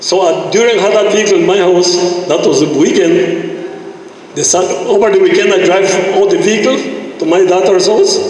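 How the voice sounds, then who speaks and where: Strong room echo surrounds a man who speaks at a fairly quick pace. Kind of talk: public meeting complaint. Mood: frustrated, pleading. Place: hall.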